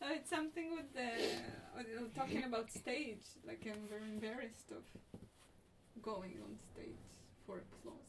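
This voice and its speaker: A voice with vocal fry and lively intonation moves at a fairly slow pace. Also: woman, fairly high pitch for a woman. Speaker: theatre director and playwright. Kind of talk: casual interview conversation.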